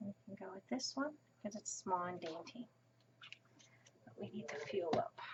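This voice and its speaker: This soft-spoken voice comes with long, frequent pauses. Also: moderate pace. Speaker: crafting tutorial host. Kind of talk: tutorial.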